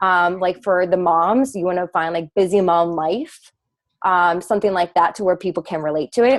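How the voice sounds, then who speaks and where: The voice belongs to a woman and sits at a medium pitch. No echo is heard, and the sound is dry and close. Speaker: fitness coach presenting to team. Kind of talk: video call team presentation. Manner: fast.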